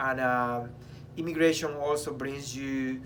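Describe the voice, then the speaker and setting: A man at medium pitch, monotone and flat, speaking at a very slow pace amid audible room echo. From abroad, immigrant. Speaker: choreographer. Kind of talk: casual chat.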